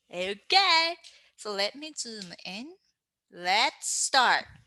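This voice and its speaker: In a raised, projected voice with a bright, sharp tone, a woman makes very wide pitch swings. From Japan. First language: Japanese. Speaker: manga artist and teacher. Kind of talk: tutorial. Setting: online class. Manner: animated.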